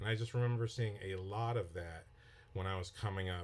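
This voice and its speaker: At a moderate pace, a man speaks with a fairly low pitch, ordinary pitch variation and a somewhat breathy voice. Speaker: filmmaker and screenwriting teacher. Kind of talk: podcast lesson. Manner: slightly slurred speech; conversational, with repetitions.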